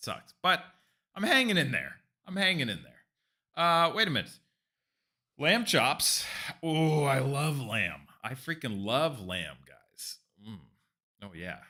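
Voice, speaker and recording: Speaking fairly slowly in an American accent, this animated voice has vocal fry, a bright, sharp tone, very wide pitch swings, big swings in loudness and long, frequent pauses. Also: man, fairly high pitch for a man, very clean recording, silent background. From California. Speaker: streamer, cooking channel host. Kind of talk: live stream chat. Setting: live stream. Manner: casual, animated.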